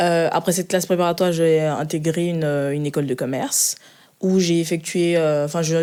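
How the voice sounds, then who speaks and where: Fairly even intonation and a dark, mellow tone come at a moderate pace. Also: woman. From Ivory Coast, moved to France at 11. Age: 20s. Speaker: finance analyst. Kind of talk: interview. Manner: hesitant, many fillers.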